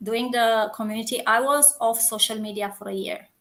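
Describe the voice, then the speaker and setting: Delivered at a moderate pace with a Romanian accent, the speech sits on a very clean recording with a silent background. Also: woman. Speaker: coach and community founder. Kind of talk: interview. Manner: halting.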